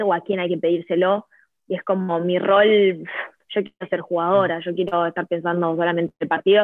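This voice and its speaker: Fairly quick and flat in intonation, a woman speaks at a fairly low pitch with an Argentine accent. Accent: Argentine Spanish (Rioplatense). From Argentina. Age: 20s. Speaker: futsal player. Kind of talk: interview. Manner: halting, many repetitions.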